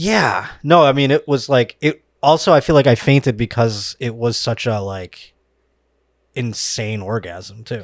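A plain, everyday voice with an American accent, at a fairly slow pace with ordinary pitch variation, in a dry, close sound with no echo. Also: man, medium pitch for a man, very clean recording, silent background. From Buffalo, New York. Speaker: comedian. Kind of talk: casual chat.

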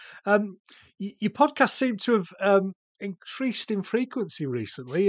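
A man's high-pitched voice at a moderate pace, dry and close with no echo, over a quiet background. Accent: Yorkshire. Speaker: podcast host. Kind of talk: casual podcast interview. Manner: halting, filler-heavy.

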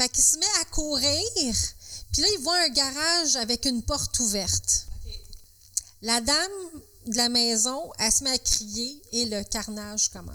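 In a Quebec accent, a woman speaks fairly slowly in a high voice with lively intonation, leaving long, frequent pauses. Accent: Québécois French. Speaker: podcast co-host. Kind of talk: storytelling.

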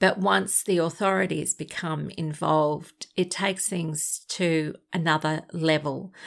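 In an Australian accent, a woman speaks at a very deep, low pitch with ordinary pitch variation and hardly any pauses, on a very clean recording with a silent background. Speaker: podcast host, abuse survivor advocate. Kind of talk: advice podcast monologue.

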